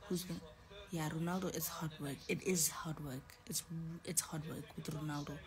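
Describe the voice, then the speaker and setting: A woman's very deep, low voice at a moderate pace, fairly even in intonation, over noticeable background noise. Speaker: live streamer. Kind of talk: casual live stream chat. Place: home room. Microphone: phone near.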